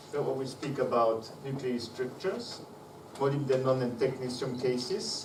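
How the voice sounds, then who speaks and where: A man talks at a medium pitch with ordinary pitch variation. Room echo and noticeable background noise can be heard. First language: not English. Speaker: conference speaker, physicist. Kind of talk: conference presentation. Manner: slow; halting, many fillers.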